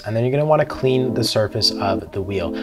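A man talks over clear music playing in the background. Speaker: presenter. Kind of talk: tutorial. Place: studio.

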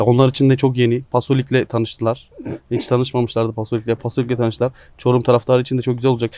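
Very fast, monotone speech with flat intonation comes across in a dry sound with no echo. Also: man. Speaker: sports channel interviewer. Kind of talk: casual interview and word game. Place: garden.

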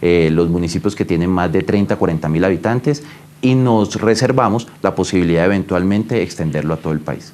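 Pitch varies in an ordinary way as the words come fairly quickly. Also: man. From Colombia, La Guajira (Riohacha). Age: 30s. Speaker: government minister. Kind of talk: news interview. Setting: remote call from home. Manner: formal. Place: office. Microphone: lapel.

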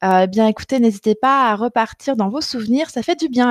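A woman speaks very fast at a fairly high pitch with ordinary pitch variation. The background is quiet and the sound is dry with no echo. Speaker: dietitian. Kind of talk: live online coaching session reading viewer comments. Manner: halting, many hesitations. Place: home room. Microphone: headset.

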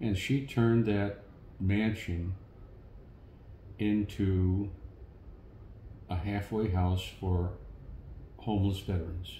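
A man speaks with a very deep, low pitch and monotone, flat intonation. Audible room echo and light background noise are present. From St. Louis, Missouri. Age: 70s. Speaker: war veteran. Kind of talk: interview answer. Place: home room.

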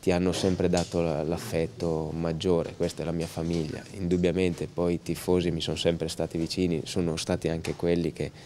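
A man with a very deep, low pitch and a dark, mellow tone speaks at a fairly quick pace with hardly any pauses. His intonation is monotone and flat, over light background noise. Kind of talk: interview answer. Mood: happy but calm, subdued. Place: stadium. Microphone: handheld.

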